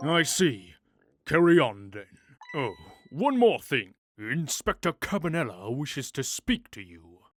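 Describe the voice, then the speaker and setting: With a put-on character voice at fairly high pitch, a man swings very widely in pitch at a fairly slow pace with long, frequent pauses, in a very clean recording with a silent background and a dry, close sound with no echo. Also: big swings in loudness. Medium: fan dub. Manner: brisk, official.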